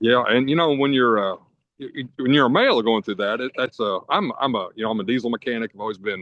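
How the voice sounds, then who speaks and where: Very fast speech in a Kentucky accent, with ordinary pitch variation. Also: man, medium pitch for a man. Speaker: diesel mechanic, podcast guest. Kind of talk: personal testimony in casual interview. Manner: halting, many fillers and stutters.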